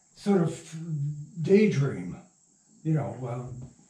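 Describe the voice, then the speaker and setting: At a very slow pace, a man with an American accent speaks in a dark, mellow tone with very wide pitch swings and audible room echo. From Michigan. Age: 80s+. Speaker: radio playwright and producer. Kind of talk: interview. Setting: at his home.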